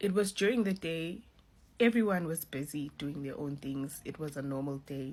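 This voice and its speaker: A woman's somewhat breathy voice proceeds at a fairly slow pace. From South Africa. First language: not English. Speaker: social media influencer sharing a vision. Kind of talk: testimony. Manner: casual.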